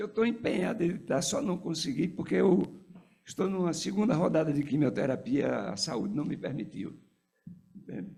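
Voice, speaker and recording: This man's pitch is fairly high, with a dark, mellow tone. Vocal fry runs through his voice. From Pernambuco, Brazilian Northeast. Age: 80s+. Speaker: physician and former political activist. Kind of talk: tribute speech. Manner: halting.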